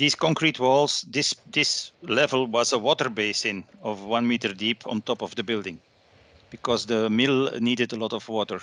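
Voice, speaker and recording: A man speaks with a Flemish accent. His pace is moderate. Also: medium pitch for a man, ordinary pitch variation. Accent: Belgian Dutch (Flemish) accent in English. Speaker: architect and professor giving a guest lecture. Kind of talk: online lecture.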